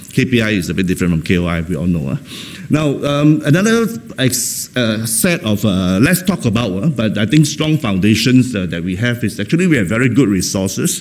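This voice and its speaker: Noticeable background noise sits behind a man with a medium pitch. He moves at a fairly quick pace, and his pitch swings very widely. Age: 60s. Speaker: professor of psychology. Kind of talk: keynote lecture. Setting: conference stage with audience. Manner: fast; hesitant, many fillers and repetitions.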